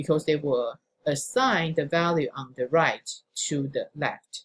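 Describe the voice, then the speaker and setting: Somewhat breathy and very deep, low in pitch, a woman speaks at a fairly slow pace. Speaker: programming instructor. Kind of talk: recorded lecture.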